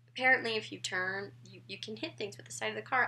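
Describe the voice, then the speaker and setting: A woman speaks at a fairly quick pace. Her voice has vocal fry. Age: young. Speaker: vlogger. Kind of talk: casual talk to camera.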